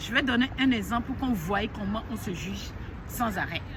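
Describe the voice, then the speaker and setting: A woman with a fairly high pitch talks at a moderate pace with lively intonation. Crowd noise and audible room echo surround her. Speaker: life coach. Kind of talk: motivational talk to camera. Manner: loud.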